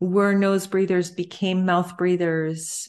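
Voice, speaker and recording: A woman's unremarkable speaking voice with a Canadian accent, medium pitch and fairly slow pace, against a quiet background. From Canada. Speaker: breathing therapist and yoga instructor. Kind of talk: interview.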